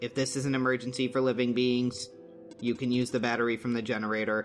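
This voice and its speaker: A man puts on a character voice at medium pitch, talking very fast in a flat monotone. Clear music plays in the background. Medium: game stream. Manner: literal, formal.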